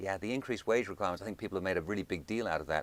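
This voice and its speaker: A man talks with a British accent. His pitch varies in an ordinary way. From United Kingdom. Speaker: think tank director. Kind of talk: interview. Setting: studio.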